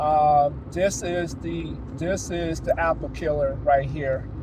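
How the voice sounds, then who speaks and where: The talking proceeds very slowly, with noticeable noise in the background. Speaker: tech reviewer / channel owner. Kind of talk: casual product review. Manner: halting, many fillers and repetitions.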